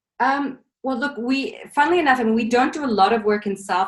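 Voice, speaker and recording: Somewhat breathy and fairly quick, this woman's speech has ordinary pitch variation. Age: young. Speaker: film foundation co-founder. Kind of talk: interview. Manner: halting, many fillers.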